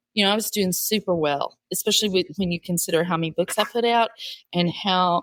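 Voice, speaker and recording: A woman with a plain, everyday voice talks at a moderate pace and medium pitch with ordinary pitch variation, in a very clean, dry, close recording with a silent background and no echo. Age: 60s. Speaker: author and podcast host. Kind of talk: interview. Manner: conversational, with fillers.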